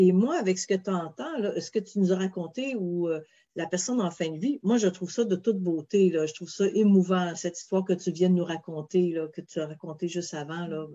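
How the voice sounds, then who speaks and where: Speaking at a fairly quick pace with a Quebec accent, the voice shows ordinary pitch variation. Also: woman, medium pitch for a woman. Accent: Québécois French. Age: 50s. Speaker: mediator and webinar host. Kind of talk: interview.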